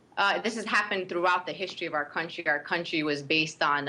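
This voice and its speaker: The woman's tone is bright and sharp. She keeps her intonation fairly even. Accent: Brooklyn. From Brooklyn, New York. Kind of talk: interview.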